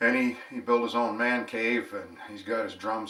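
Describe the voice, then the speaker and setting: Amid noticeable background noise, a man speaks in a high pitch with a relaxed tone. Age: 60s. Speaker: home bar hobbyist and vlogger. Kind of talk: casual storytelling monologue. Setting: at home. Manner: relaxed, conversational with filler words.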